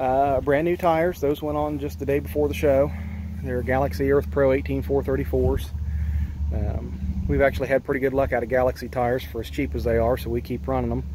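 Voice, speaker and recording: A man's very deep, low pitch at a fairly quick pace, dry with no echo, over noticeable background noise. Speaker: tractor owner. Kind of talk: casual walkaround explanation. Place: open country. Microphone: phone near.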